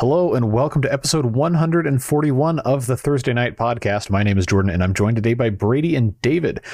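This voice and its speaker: A plain, everyday voice from a man at medium pitch, with lively intonation, very even loudness and hardly any pauses. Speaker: podcast host. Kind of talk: casual sports podcast discussion.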